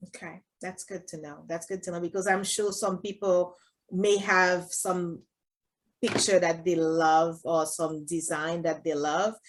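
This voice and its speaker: The voice has a Haitian accent and fairly even intonation at a fairly slow pace. Its loudness swings widely. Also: woman, fairly low pitch for a woman. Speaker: podcast host. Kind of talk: casual interview.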